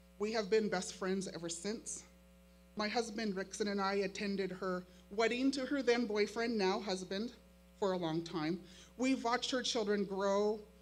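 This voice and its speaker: In an American accent, a woman talks at a moderate pace with fairly even intonation. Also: medium pitch for a woman. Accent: Makah reservation accent, strength unsure. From Makah reservation, Neah Bay, Washington. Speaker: high school teacher. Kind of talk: keynote speech.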